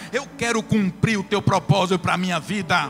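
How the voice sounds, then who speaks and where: A man speaks in a raised, projected voice with music in the background. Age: 50s. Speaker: pastor. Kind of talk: sermon. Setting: church.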